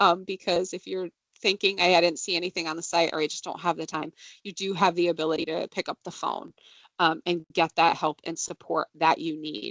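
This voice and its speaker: Here is a woman with a plain, everyday voice. Her pitch is fairly low and her pace fairly quick. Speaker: benefits presenter. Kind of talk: workplace presentation. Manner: casual with many fillers.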